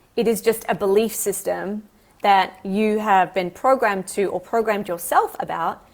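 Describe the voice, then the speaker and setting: Here is a woman with an unremarkable speaking voice at medium pitch. She keeps a moderate pace and fairly even intonation. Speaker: holistic coach and yoga teacher. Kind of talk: live stream talk. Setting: live stream.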